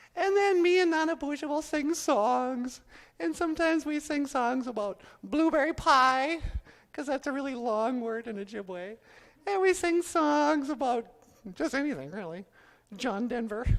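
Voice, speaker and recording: A man performs a cartoonish character voice at an extremely high pitch. He keeps a moderate pace. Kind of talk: live stage ventriloquism act. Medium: puppet.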